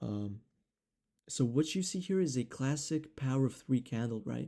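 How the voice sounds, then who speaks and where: A man with a non-native accent speaks at a medium pitch. His tone is dark and mellow. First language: not English. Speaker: trading educator. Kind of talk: tutorial. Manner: casual, many fillers.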